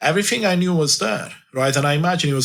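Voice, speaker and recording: With a Romanian accent, a man talks at a fairly quick pace with ordinary pitch variation and audible room echo. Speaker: life coach. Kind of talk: interview. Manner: halting.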